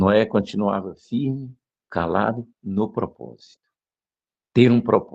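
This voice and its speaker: At a very slow pace with long, frequent pauses, a man speaks in a fairly low pitch with vocal fry and ordinary pitch variation. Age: 60s. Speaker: preacher. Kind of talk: sermon.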